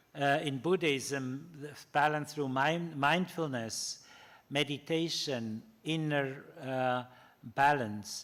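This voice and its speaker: A man speaks at a very slow pace in a German accent. His pitch is fairly high and his intonation fairly even. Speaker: ethics professor. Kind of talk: lecture. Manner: halting, many fillers.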